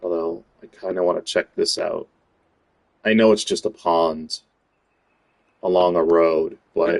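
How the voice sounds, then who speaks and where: Pausing long and often, a man with an American accent speaks at a fairly slow pace. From United States. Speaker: gaming streamer. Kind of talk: gameplay commentary. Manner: casual, with many fillers.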